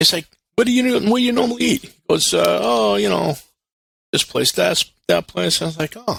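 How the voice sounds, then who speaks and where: A man with a Brooklyn accent talks at a fairly quick pace but leaves long, frequent pauses. The sound is dry and close with no echo. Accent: New York (Brooklyn). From Brooklyn, New York. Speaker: restaurant operator and recruiter. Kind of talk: casual chat. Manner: animated.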